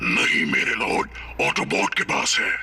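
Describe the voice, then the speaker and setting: A man uses a put-on character voice at a moderate pace, with clear background noise behind him. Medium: fan dub. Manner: cold, menacing.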